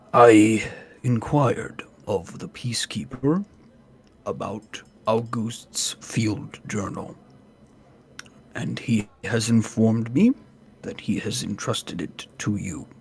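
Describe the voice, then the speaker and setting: Using a put-on character voice of medium pitch, a man speaks at a fairly slow pace with long, frequent pauses. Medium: actual play. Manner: formal, courteous.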